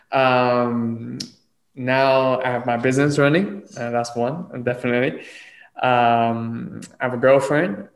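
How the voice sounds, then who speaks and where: Audible echo from the room hangs around the voice. A man delivers his words at a very slow pace. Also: medium pitch for a man, ordinary pitch variation. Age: 20s. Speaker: podcast host. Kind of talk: casual chat.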